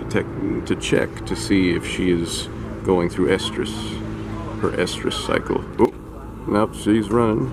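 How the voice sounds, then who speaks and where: A man's very slow speech plays out against noticeable background noise. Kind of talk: casual commentary. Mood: amused, affectionate. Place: open country. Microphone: phone near.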